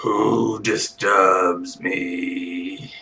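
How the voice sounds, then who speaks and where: A man's rumbling, put-on character voice. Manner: menacing, commanding.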